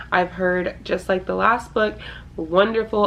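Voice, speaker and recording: Her intonation is monotone and flat as a woman speaks at a medium pitch. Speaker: book youtuber. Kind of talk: casual book talk to camera.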